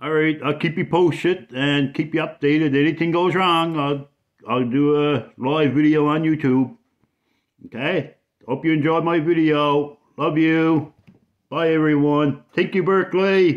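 A man's voice with fairly even intonation and very even loudness throughout. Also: quiet background. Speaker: vlogger. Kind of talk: casual vlog chat. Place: kitchen. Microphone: phone near.

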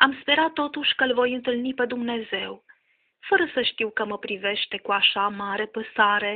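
The speech moves at a moderate pace. Its pitch varies an ordinary amount. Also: woman, high pitch for a woman. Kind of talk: poetry reading.

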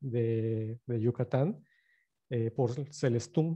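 A man talks at a very slow pace with a dark, mellow tone and ordinary pitch variation. The background is quiet. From Campeche, Mexico. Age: 30s. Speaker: journalist and filmmaker; journalist presenter. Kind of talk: lecture. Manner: hesitant with frequent fillers.

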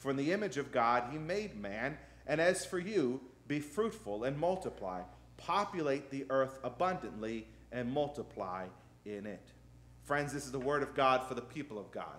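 His pitch swinging very widely, a man talks at a moderate pace. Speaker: pastor. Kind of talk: sermon scripture reading. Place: church. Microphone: podium.

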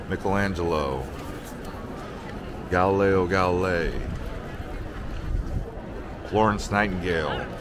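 Noticeable background noise sits under a dry recording with no echo. A man speaks at a fairly slow pace with ordinary pitch variation. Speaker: travel vlogger. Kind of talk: travel vlog narration. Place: street. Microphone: phone near.

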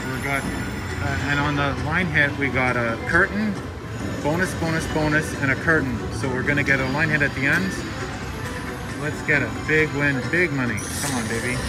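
Over loud background music, a man speaks at a moderate pace with ordinary pitch variation. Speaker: slot machine vlogger. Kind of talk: casual gambling commentary. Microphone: phone near.

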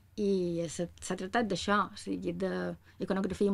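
A woman talks in a bright, sharp tone against a quiet background. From Mallorca, Felanitx; Mallorca, Spain. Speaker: musicologist and music teacher; music teacher. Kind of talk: panel talk about research. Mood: calm, friendly. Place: office. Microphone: camera far.

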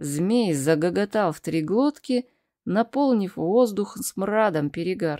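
The intonation is lively in an unforced reading voice. Behind it, things are quiet.

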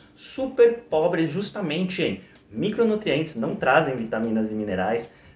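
In a room with audible echo, a man speaks at a fairly slow pace with vocal fry. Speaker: diet educator. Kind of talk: educational talk to camera.

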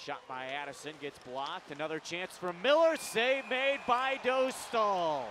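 A man with an animated, bright, sharp tone speaks at a moderate pace, his pitch swinging very widely, in a dry sound with no echo over noticeable background noise. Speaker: play-by-play announcer. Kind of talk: live hockey play-by-play commentary. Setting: arena broadcast, highlight reel voiceover. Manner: animated, punchy call of goals.

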